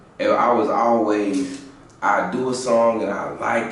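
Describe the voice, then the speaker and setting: A man speaks with a fairly low pitch. Audible room echo and noticeable background noise surround his voice. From South Carolina, small country town. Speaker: rapper. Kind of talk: interview. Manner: halting, repeats words.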